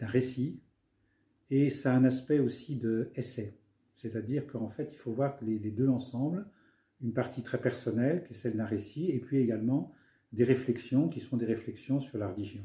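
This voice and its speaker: A man speaks at a moderate pace in a medium pitch with ordinary pitch variation. His tone is dark, mellow and somewhat breathy. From France, Paris. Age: 70s. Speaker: author, retired senior civil servant. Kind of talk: interview. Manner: hesitant, many fillers.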